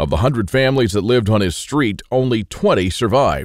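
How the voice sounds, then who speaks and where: A man speaks with an American accent, his voice medium in pitch with vocal fry. He talks at a moderate pace on a very clean recording with a silent background. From Texas. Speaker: survival author. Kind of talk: sales pitch.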